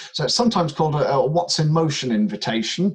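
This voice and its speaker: With lively intonation and a somewhat breathy quality, a man is talking. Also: quiet background. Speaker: workshop leader and crofter. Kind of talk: guided meditation. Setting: online workshop video call. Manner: gentle, hesitant, instructional.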